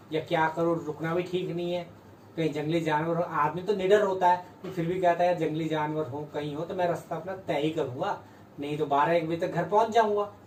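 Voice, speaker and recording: Through noticeable background noise, a man talks at a moderate pace with a high pitch and fairly even intonation. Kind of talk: casual storytelling to camera.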